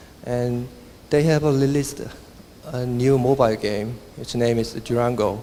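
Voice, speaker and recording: Someone with a Korean accent speaks at a moderate pace with fairly even intonation. Noticeable background noise and audible room echo come through. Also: man, medium pitch for a man. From South Korea. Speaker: software engineer and conference speaker. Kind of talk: conference talk. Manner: halting.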